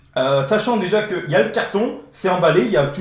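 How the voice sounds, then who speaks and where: Amid noticeable background noise and audible room echo, a man speaks at a high pitch and fairly quick pace with lively intonation. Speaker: tech YouTuber. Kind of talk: unboxing video. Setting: indoor room with echo. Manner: fast; hesitant, many fillers. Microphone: echo in the room.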